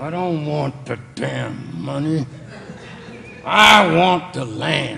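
A man puts on a character voice at a fairly high pitch, speaking at a very slow pace with long, frequent pauses. Clear background noise is present. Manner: through gritted teeth, bitter.

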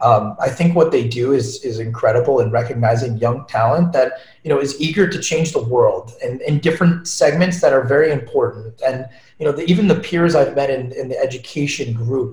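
A man's fairly high, somewhat breathy voice at a fairly quick pace, with ordinary pitch variation. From New York, Long Island. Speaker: ed tech entrepreneur. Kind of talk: casual interview. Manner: animated.

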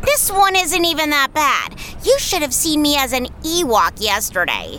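A woman puts on a bubbly character voice with a high pitch. Clear background noise is heard. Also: moderate pace. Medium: audio drama.

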